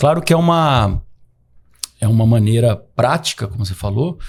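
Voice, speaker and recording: A man talks at a moderate pace with lively intonation on a very clean recording with a silent background. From Brazil, São Paulo state interior (Catanduva). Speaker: psychiatrist. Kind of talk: podcast conversation. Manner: hesitant, many fillers and repetitions.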